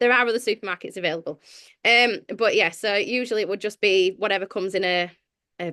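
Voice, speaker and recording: Speaking very fast with a slight Sheffield accent, a woman sounds dry and close with no echo over a quiet background. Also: medium pitch for a woman, ordinary pitch variation. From northern England, Sheffield. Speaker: church leader and author. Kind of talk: podcast interview.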